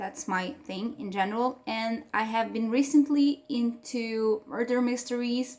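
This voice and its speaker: In a Portuguese accent, a woman speaks at a fairly slow pace with a high pitch and ordinary pitch variation. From Portugal. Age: 20s. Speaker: book reviewer. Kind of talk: casual vlog review. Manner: hesitant, with fillers.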